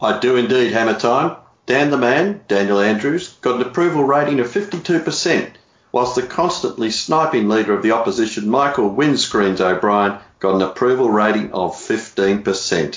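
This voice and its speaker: A man speaks with an Australian accent at a medium pitch and moderate pace. His intonation is lively, and his loudness stays very even. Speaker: comedian co-host.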